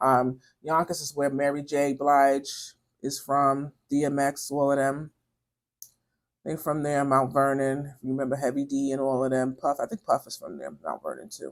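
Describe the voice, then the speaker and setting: At a moderate pace, a woman with a New York accent speaks in a very deep, low pitch and a monotone, flat intonation. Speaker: beauty vlogger. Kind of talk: casual chat while doing makeup. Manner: chatty, conversational; hesitant, many fillers.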